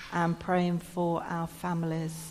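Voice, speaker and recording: A woman speaks very slowly in an English accent, her pitch fairly low. Her tone is dark and mellow. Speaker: church service leader. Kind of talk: church service, notices and prayer. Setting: church.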